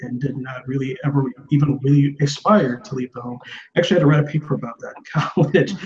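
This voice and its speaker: A man talks at a fairly quick pace with a fairly high pitch. He has a plain, everyday voice with ordinary pitch variation. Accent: American. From US South. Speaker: interviewer. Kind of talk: interview.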